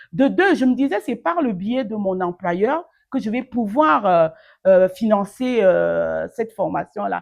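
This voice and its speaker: Lively intonation marks this very slow delivery. The background is quiet. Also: woman, medium pitch for a woman. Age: 50s. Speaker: online training advisor, master's graduate. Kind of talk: interview answer. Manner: warm, lively, motivational.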